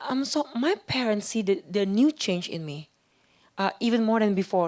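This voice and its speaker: In a very clean recording with a silent background, a woman of medium pitch speaks fairly slowly with an Indonesian accent and lively intonation. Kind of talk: interview testimony. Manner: halting, with fillers and repeats.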